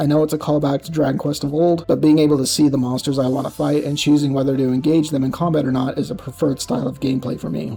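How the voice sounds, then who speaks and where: Over music in the background, a man with a fairly high pitch speaks very fast in a flat monotone, with hardly any pauses. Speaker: video game reviewer. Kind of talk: reading aloud. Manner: speech impediment; scripted, read from outline.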